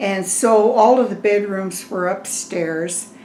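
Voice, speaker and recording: Medium-pitched speech from a woman with an American accent and ordinary pitch variation, with audible room echo and noticeable background noise. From Severance, Colorado, US. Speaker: oral history interviewee. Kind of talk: oral history interview.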